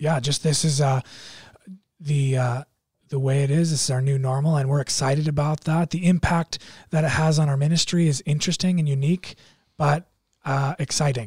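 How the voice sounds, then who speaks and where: Somewhat breathy and fairly high in pitch, a man speaks at a moderate pace with fairly even intonation and long, frequent pauses, in a dry, close sound with no echo. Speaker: youth pastor. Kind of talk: casual podcast chat.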